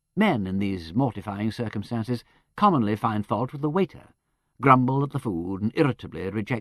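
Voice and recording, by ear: A passage is being read aloud in a natural voice over a quiet background.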